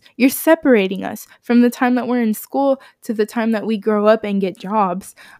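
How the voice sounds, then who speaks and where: A woman with an unremarkable speaking voice talks at a moderate pace and a fairly high pitch, with fairly even intonation. The sound is dry and close, with no echo. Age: 20s. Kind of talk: casual monologue. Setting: home recording in bedroom.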